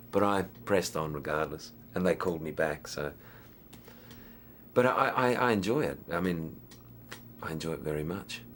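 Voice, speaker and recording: Speaking with an Australian accent, a man with a very deep, low pitch keeps a moderate pace and lively intonation, broken by long, frequent pauses. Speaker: actor. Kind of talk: interview. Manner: halting.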